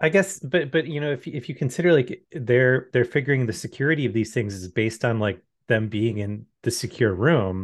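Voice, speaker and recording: Over a quiet background, a man speaks with lively intonation at a medium pitch and hardly any pauses. He has a plain, everyday voice. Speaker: podcast co-host. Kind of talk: casual chat. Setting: video call.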